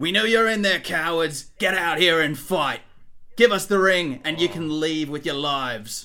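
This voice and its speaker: A man performs a put-on character voice, pitched high. He keeps it raised and projected. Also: moderate pace. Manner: menacing, demanding.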